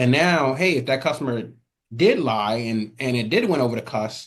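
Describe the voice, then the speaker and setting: The speaker has a plain, everyday voice with an American accent and a moderate pace. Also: man. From Atlanta, US South. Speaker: former mover and music studio owner. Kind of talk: podcast interview.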